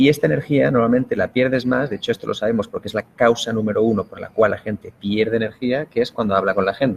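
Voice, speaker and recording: A man with a Spanish accent at a very fast pace, medium pitch and hardly any pauses. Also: ordinary pitch variation. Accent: Spanish (Spain) accent, noticeable. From Spain. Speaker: productivity expert. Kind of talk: interview.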